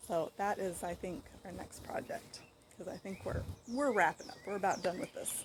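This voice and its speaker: At a fairly slow pace, a woman speaks with an American accent. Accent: southern US accent, comes and goes. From western US. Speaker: home cooking and food storage vlogger. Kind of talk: casual vlog talk. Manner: conversational, hesitant with fillers.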